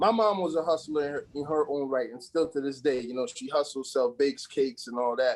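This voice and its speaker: A man with an American accent and a normal speaking voice, fairly high-pitched, with ordinary pitch variation, a fairly quick pace and hardly any pauses. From US Virgin Islands, Saint Croix. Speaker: assistant basketball coach. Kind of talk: interview. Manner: casual, filler-heavy.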